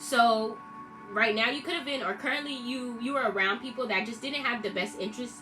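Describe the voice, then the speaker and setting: A woman talks with a fairly high pitch and ordinary pitch variation. Music plays in the background, and room echo is audible. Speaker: tarot reader. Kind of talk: tarot reading. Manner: stuttering.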